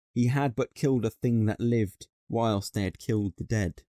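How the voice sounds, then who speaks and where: Dry, close sound with no echo, a man's fairly low, dark, mellow voice with a British accent, fairly even intonation and a moderate pace. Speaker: voice actor. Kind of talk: poetry reading.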